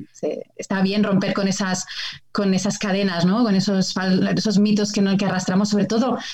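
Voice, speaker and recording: A woman speaks at a fairly quick pace in an ordinary speaking voice. Her pitch sits at a medium level. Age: 30s. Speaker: biologist and TV nature show presenter. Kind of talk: casual chat.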